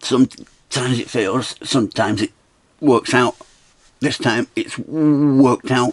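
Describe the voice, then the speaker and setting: With a Scottish accent, a man speaks fairly slowly at medium pitch and fairly even intonation, in a dry, close sound with no echo. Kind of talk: casual talk to camera. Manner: rambling, stuttering.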